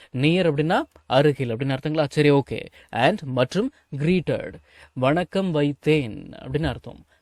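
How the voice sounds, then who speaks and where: Very clean, with a silent background and a dry, close sound with no echo, the recording has a man speaking in an ordinary speaking voice at a fairly high pitch with ordinary pitch variation. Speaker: English teacher. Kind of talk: spoken English lesson explaining words in Tamil.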